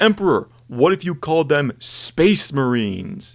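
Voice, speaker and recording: A put-on character voice swings very widely in pitch while keeping a moderate pace. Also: man, fairly high pitch for a man. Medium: solo performance.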